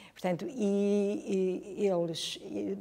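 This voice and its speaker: This woman's voice has a dark, mellow tone at a medium pitch. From northern Portugal, Chaves. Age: 60s. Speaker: history teacher. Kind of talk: interview testimony. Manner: hesitant, repetitive.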